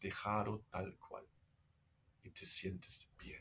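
At a very slow pace, a man speaks with a German accent. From Germany. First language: German (speaking Spanish). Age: 50s. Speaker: meditation teacher. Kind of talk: casual chat. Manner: halting.

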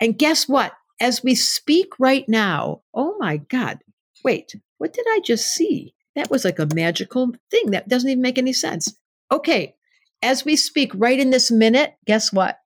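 Very wide pitch swings at a fairly slow pace, on a very clean recording with a silent background and a dry, close sound with no echo. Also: woman, high pitch for a woman. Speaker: astrologer and psychotherapist. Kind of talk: casual interview.

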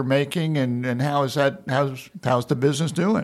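A man with an American accent uses an ordinary speaking voice, moderate pace and ordinary pitch variation. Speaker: podcast host, manufacturing center director. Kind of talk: casual interview.

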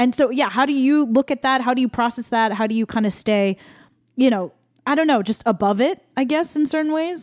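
The woman's voice is high-pitched. She talks fairly quickly. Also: ordinary pitch variation. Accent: American. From Taiwanese American. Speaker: singer-songwriter and podcast host. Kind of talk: casual chat.

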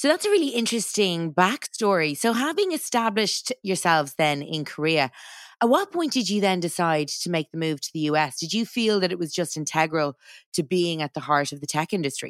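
An ordinary speaking voice at a fairly quick pace with lively intonation and a dry, close sound without echo. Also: woman, fairly low pitch for a woman. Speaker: podcast host. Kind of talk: interview. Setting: studio.

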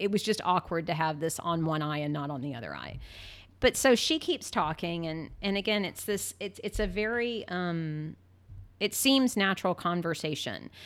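In a very clean recording with a silent background, a woman with a fairly low pitch speaks at a moderate pace with lively intonation. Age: 50s. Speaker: lawyer, scam victim. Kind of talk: casual interview storytelling. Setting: studio, in person. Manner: halting, many repetitions.

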